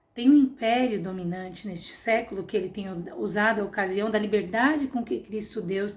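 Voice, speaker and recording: At a moderate pace, a woman talks in a somewhat breathy, medium-pitched voice with ordinary pitch variation. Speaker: Sunday school teacher. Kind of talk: Bible class lesson.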